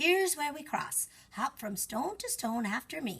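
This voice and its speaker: A woman puts on a character voice, high in pitch. She swings her pitch very widely at a moderate pace. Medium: read story. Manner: folksy, warm.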